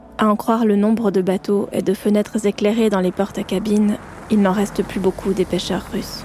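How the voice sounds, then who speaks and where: Against noticeable background noise, a woman of medium pitch talks at a fairly quick pace in a flat monotone. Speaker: podcast documentary maker. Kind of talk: scripted narration.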